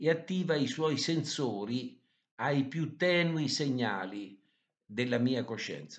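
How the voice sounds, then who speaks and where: A man's fairly high voice moves with lively intonation at a very slow pace. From Italy, Umbria (Todi). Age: 80s+. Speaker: author and podcaster on poetry. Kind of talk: scripted talk. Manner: formal.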